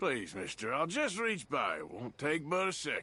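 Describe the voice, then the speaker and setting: A man uses a gruff, put-on character voice at a high pitch and a moderate pace. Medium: video game. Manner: gruff, terse.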